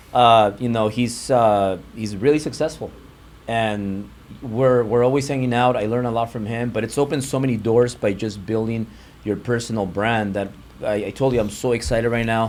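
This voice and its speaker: Using fairly even intonation, a man with a Spanish accent speaks at a moderate pace. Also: medium pitch for a man. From US, Mexican-American family. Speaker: real estate and mortgage entrepreneur. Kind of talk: interview conversation.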